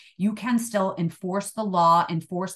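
A woman's plain, everyday voice with an American accent, medium in pitch, with fairly even intonation and a fairly slow pace, over a quiet background. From Illinois. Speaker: retired police chief. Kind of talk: interview.

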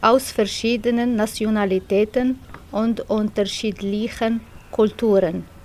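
A woman with a fairly high pitch speaks at a very slow pace in a monotone, flat intonation, with noticeable background noise behind her. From Morocco. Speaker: language course participant. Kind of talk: reading aloud.

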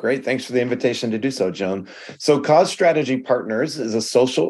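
This man has a plain, everyday voice. He speaks at a moderate pace with ordinary pitch variation. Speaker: nonprofit board consultant. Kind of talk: casual interview chat.

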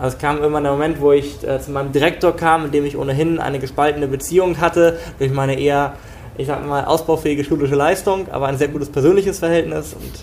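With noticeable background noise behind him, a man talks at a very fast pace. His pitch is fairly high and his intonation fairly even. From northern Germany, Schleswig-Holstein. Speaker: tech company founder. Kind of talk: interview.

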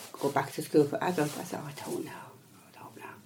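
Noticeable background noise is present while a woman talks. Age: 60s. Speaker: adult education student. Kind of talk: interview. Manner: stammer.

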